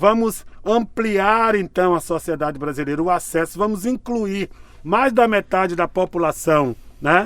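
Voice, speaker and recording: The delivery is at a fairly slow pace with lively intonation. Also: man. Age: 60s. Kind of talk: interview.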